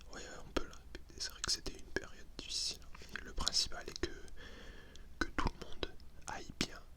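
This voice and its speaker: Whispering at a moderate pace comes with long, frequent pauses. Noticeable background noise is present. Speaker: ASMR content creator. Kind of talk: ASMR roleplay talking to the listener. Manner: whispered, soft-spoken.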